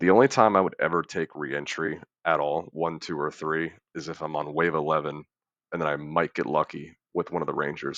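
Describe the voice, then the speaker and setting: The sound is dry and close with no echo, over a quiet background. A man with a very deep, low pitch speaks at a moderate pace. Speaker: gaming guide creator. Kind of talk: tutorial. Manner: monotone.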